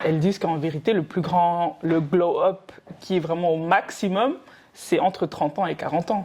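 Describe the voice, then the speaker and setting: Her voice is dark and mellow, fairly low for a woman, with ordinary pitch variation at a moderate pace. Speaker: podcast co-host. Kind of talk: casual chat.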